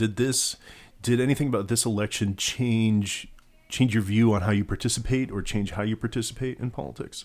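A man talks at a fairly quick pace in a plain, everyday voice. His pitch is medium, with fairly even intonation. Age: 30s. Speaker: podcast host. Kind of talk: political panel discussion.

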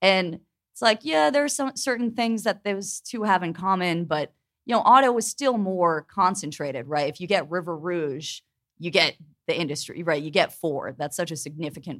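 Recorded very cleanly against a silent background, a woman with an American accent uses an ordinary speaking voice at a fairly low pitch, a moderate pace, and lively intonation. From Pittsburgh, US. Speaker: labor journalist. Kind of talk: live panel discussion. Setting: stage with audience.

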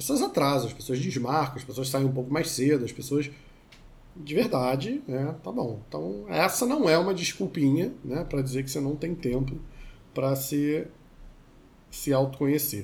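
With long, frequent pauses and audible room echo, a somewhat breathy man talks at a moderate pace in a fairly high pitch with ordinary pitch variation. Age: 40s. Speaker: therapist. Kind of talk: casual chat.

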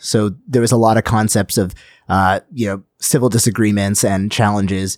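In a dry, close sound with no echo and a very clean recording with a silent background, a man speaks at a moderate pace with an American accent. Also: fairly even intonation. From US, second-generation Indian American. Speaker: metal guitarist and composer. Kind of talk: interview.

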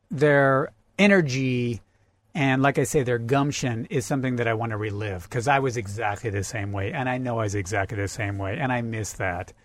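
With an American accent, a man speaks in an ordinary speaking voice at a medium pitch, a fairly quick pace and ordinary pitch variation. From US Pacific Northwest (Central Oregon). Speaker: rock climber and academic. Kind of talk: casual chat. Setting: parked vehicle used as mobile studio.

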